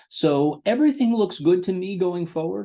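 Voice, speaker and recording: A man speaks at a fairly slow pace with lively intonation. His tone is dark and mellow. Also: quiet background. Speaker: financial advisor. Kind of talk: market analysis video for clients. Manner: hesitant, many fillers.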